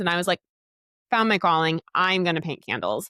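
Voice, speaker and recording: Talking at a fairly quick pace, a woman uses a medium pitch and an animated tone. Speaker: podcast host and dietitian. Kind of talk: casual solo podcast talk. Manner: fast.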